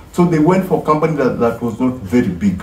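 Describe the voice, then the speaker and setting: The speech moves at a fairly quick pace. There is audible room echo and light background noise. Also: man. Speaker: music commentator. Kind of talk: casual vlog commentary. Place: home room. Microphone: phone near.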